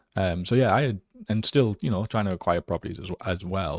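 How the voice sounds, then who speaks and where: In a Geordie accent, a man with a very deep, low pitch talks at a fairly quick pace with ordinary pitch variation, in a very clean recording with a silent background and a dry, close sound with no echo. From northern England, Newcastle area. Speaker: real estate investor. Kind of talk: interview.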